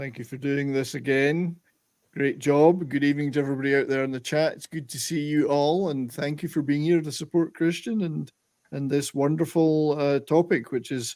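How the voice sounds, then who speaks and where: Recorded very cleanly against a silent background, a man with a plain, everyday voice speaks at a fairly high pitch with fairly even intonation. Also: moderate pace. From Canada. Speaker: musician guest. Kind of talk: casual chat.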